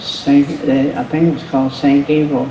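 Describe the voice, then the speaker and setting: A man's fairly high voice with fairly even intonation, audible room echo and noticeable background noise. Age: 80s+. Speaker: retired drag racer. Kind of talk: panel talk. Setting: museum panel with audience. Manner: halting.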